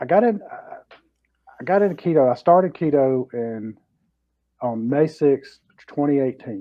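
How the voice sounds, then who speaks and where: Speaking at a moderate pace with long, frequent pauses, a man uses lively intonation at a fairly high pitch. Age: 60s. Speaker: retired law enforcement officer, keto YouTuber. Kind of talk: casual interview.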